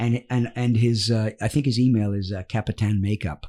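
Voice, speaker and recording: On a very clean recording with a silent background, a man at a medium pitch speaks at a moderate pace in a dark, mellow tone. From Wales. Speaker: actor and comedian. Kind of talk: casual interview chat. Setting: studio. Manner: animated storytelling.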